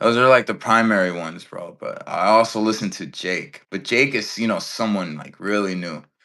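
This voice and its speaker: With an American accent, a man speaks at a moderate pace in a fairly low, bright, sharp voice, with ordinary pitch variation and big swings in loudness. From Englewood, Chicago area, US. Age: 20s. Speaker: rapper. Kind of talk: casual interview.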